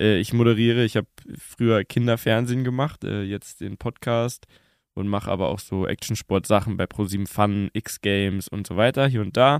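In an ordinary speaking voice, the words come at a moderate pace with fairly even intonation. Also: man, fairly low pitch for a man. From Bavaria, Munich. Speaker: TV presenter and podcaster. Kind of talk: casual chat. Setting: podcast studio in a tavern.

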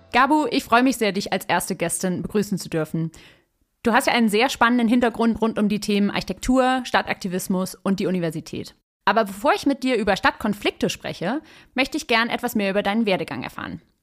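A woman talks very fast in a fairly high voice with lively intonation, on a very clean recording with a silent background. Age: 30s. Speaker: podcast host and urban sociologist. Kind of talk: interview conversation; scripted narration. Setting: studio.

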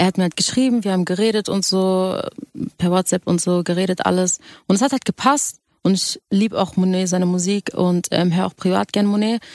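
Speaking at a fairly quick pace with fairly even intonation, a woman has an ordinary speaking voice at medium pitch, captured in a very clean recording with a silent background and a dry, close sound with no echo. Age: young. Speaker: singer. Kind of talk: radio interview, casual chat.

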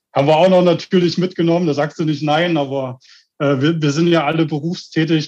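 The voice is a man's. He speaks with monotone, flat intonation. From Germany. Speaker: death metal band member, toolmaker. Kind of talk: interview.

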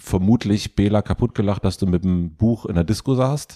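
Using a normal speaking voice, a man talks at a fairly slow pace with fairly low pitch and ordinary pitch variation. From former East Germany. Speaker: podcast host. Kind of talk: casual interview.

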